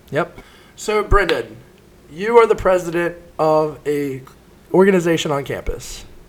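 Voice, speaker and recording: Talking in a Southern US accent, a man with a high voice speaks at a fairly slow pace, with ordinary pitch variation and long, frequent pauses. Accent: US South. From rural South Carolina. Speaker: student podcast host. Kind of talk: casual interview.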